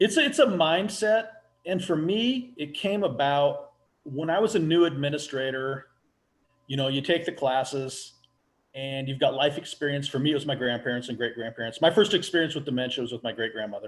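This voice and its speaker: An unremarkable speaking voice with an American accent. It moves at a fairly quick pace with lively intonation. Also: man, fairly high pitch for a man. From US Pacific Northwest. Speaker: residential care home owner. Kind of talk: casual interview.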